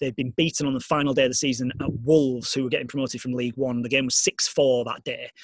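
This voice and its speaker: A man's fairly high, monotone, flat voice at a fairly quick pace, with a Yorkshire accent. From northern England, Leeds. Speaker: sports radio editor and broadcaster. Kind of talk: casual interview. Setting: video call.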